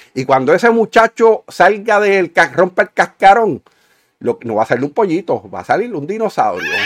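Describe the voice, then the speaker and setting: Speaking at a moderate pace, a man with a high pitch uses lively intonation and big swings in loudness. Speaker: podcast co-host, engineer. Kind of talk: casual political chat.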